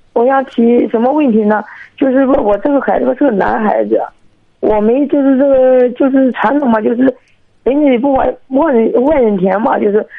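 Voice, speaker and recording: At a high pitch, a woman speaks with ordinary pitch variation. Her pace is moderate. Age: 30s. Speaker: caller. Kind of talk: phone-in advice call. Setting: phone call. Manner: halting.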